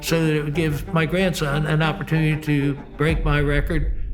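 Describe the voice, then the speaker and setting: A man with a fairly high pitch and monotone, flat intonation, at a moderate pace, over noticeable background noise. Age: 70s. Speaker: sprint car racer and stucco worker. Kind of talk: interview answer.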